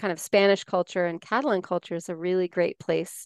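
Over a quiet background, a woman talks at a fairly quick pace in a plain, everyday voice, medium in pitch with fairly even intonation. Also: dry, close sound with no echo. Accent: General American. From US, Colorado (Four Corners area). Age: 40s. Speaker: life coach and writer. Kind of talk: casual interview.

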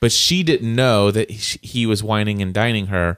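Music plays in the background as a man talks at a moderate pace with a fairly low pitch. The sound is dry and close, with no echo. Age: 40s. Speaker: podcast host. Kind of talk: casual chat; sponsor read.

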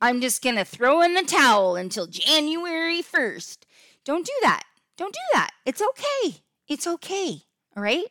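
A raised, projected voice, bright and sharp in tone, fairly slow pace, very wide pitch swings, dry close sound with no echo, very clean recording, silent background. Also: woman, extremely high pitch for a woman. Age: 50s. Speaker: podcast host and health coach. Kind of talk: casual solo podcast tutorial. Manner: animated.

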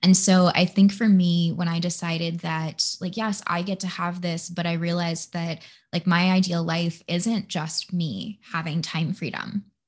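In an American accent, a woman speaks at a moderate pace with a fairly low, somewhat breathy voice. Her intonation is monotone and flat. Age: 20s. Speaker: podcast host and human design coach. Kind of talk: casual chat.

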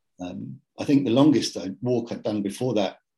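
A man's dark, mellow tone. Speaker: IT business owner. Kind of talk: interview conversation. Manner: relaxed; halting with repetitions.

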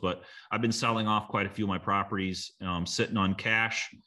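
Against a quiet background, a man with a very deep, low pitch speaks in a bright, sharp tone with fairly even intonation. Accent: US Midwestern. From small-town Illinois, US Midwest. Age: 40s. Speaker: real estate investor. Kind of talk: interview. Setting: video call from lake house. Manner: halting, many fillers and repeats.

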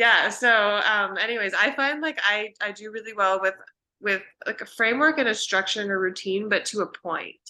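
With a western Canadian accent, the speaker has a bright, sharp tone, a moderate pace and ordinary pitch variation over a quiet background. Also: woman, fairly high pitch for a woman. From Vancouver, Canada. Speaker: naturopathic doctor. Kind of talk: casual interview chat.

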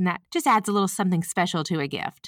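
A woman with a Southern US accent talks at a fairly quick pace and medium pitch, the sound dry and close with no echo on a very clean recording with a silent background. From US South. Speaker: podcast host and senior care advisor. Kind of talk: informal scripted-style podcast monologue. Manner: friendly, conversational.

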